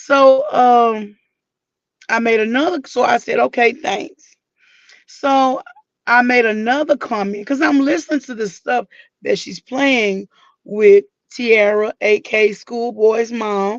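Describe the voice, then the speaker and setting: A woman speaks at a fairly high pitch with ordinary pitch variation. She goes very slowly, with long, frequent pauses. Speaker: YouTube live commentator. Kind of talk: casual chat.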